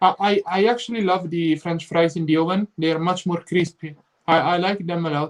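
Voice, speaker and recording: Speaking at a fairly quick pace, a man has a high pitch. His intonation stays fairly even. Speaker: travel vlogger. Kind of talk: live stream chat.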